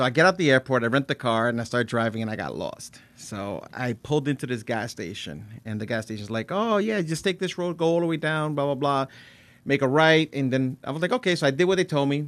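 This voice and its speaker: A man talks at a fairly quick pace in a fairly high voice, his intonation lively. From New Jersey. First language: Spanish. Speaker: podcast host. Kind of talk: casual chat. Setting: studio.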